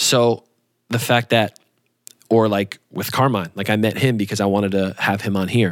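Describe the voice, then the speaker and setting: Moving at a moderate pace, a man with a fairly low pitch and fairly even intonation has an unremarkable speaking voice. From New York, then Michigan from age 13. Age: 20s. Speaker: podcast host. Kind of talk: casual interview chat.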